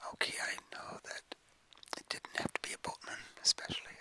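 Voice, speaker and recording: A man whispers in a dry, close sound with no echo, over noticeable background noise. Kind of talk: whispered ASMR short story reading. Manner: whispered, soft.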